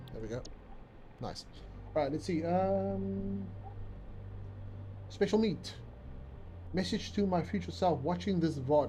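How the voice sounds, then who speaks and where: A man's somewhat breathy, dark, mellow voice at medium pitch, with very wide pitch swings, a fairly slow pace, long, frequent pauses and audible room echo. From South Africa, Cape Town. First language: Afrikaans. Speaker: video game streamer. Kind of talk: casual live-stream chat.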